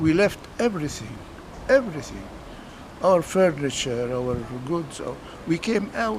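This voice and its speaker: A man with an Arabic accent and a fairly high pitch talks at a moderate pace with very wide pitch swings and long, frequent pauses, over noticeable background noise. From Palestine, Jerusalem. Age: 80s+. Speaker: refugee eyewitness. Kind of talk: interview testimony. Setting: outdoors. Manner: halting.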